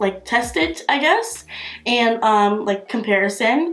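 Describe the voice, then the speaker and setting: With music in the background, a woman talks at a fairly slow pace. Her pitch sits fairly high. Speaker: beauty youtuber. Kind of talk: product review. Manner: casual, filler-heavy.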